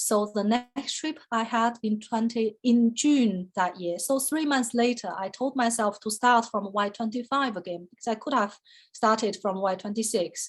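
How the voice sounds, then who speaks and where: With a Chinese accent, a woman talks at a moderate pace with hardly any pauses, her fairly high, somewhat breathy voice showing ordinary pitch variation. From China. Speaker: photographer, artist. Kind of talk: artist talk interview. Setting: online video call. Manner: conversational with many fillers.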